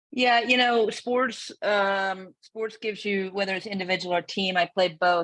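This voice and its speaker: In a Northern Irish accent, a woman speaks at a moderate pace with ordinary pitch variation, the sound dry and close with no echo. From Northern Ireland, Belfast. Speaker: CEO and founder. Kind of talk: interview.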